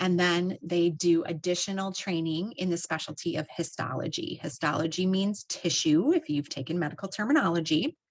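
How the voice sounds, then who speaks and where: An ordinary speaking voice talks at a moderate pace. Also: woman. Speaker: health education program director. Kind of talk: educational presentation to students.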